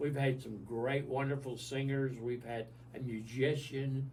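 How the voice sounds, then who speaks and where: With an American accent, a man speaks at a fairly slow pace in a medium pitch, his somewhat breathy voice flat and monotone against audible room echo. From US South. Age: 70s. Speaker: senior living resident. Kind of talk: radio interview.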